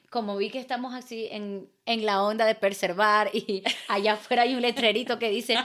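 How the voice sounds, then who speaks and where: A woman speaks in an ordinary speaking voice at a moderate pace, her fairly high pitch moving with ordinary variation on a very clean recording with a silent background. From Venezuela, Maracaibo (Zulia). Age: 20s. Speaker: artist and entrepreneur. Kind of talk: casual interview chat.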